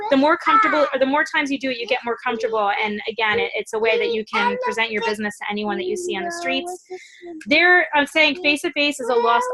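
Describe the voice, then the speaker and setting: Her voice raised and projected, a woman talks at a very fast pace in a high pitch with lively intonation. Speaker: network marketing team leader. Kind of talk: training call.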